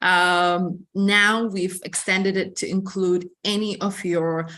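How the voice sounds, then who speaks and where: Speaking fairly slowly with an Ethiopian accent, the voice has a bright, sharp tone, fairly even intonation and hardly any pauses. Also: woman. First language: Amharic. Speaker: admissions representative. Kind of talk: information session. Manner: hesitant, many fillers.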